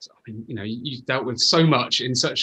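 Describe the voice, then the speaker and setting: A man's normal speaking voice, medium in pitch, at a fairly quick pace with ordinary pitch variation. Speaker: interviewer. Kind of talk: interview, conversational.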